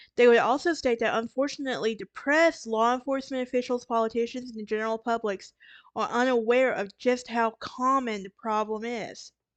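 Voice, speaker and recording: In a Southern US accent, a woman talks at a fairly quick pace in a high pitch, her loudness swinging widely. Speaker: true crime podcaster. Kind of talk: casual narration. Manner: halting, with fillers and self-corrections.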